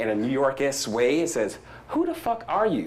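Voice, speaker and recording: An animated man with an American accent, with audible room echo. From US South. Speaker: startup founder. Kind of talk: conference talk. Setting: stage with audience. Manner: fast.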